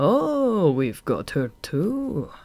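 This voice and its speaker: In a put-on character voice at a middle pitch, the speaker swings through very wide pitch changes, recorded very cleanly with a silent background. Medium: read story. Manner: mocking, menacing.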